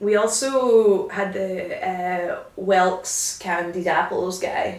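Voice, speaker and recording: With hardly any pauses, a woman speaks at a very slow pace, her medium pitch in a fairly even intonation. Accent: Glaswegian. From Glasgow. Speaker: comedian and history tour guide. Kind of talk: casual podcast interview talk.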